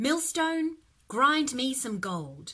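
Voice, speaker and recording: Very wide pitch swings in a high-pitched put-on character voice from a woman. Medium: read story.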